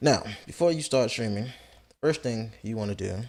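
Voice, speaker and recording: A man talks at a medium pitch in a normal speaking voice. The intonation is lively. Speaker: Twitch streamer. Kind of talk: casual tutorial talk to camera. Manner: casual, profane.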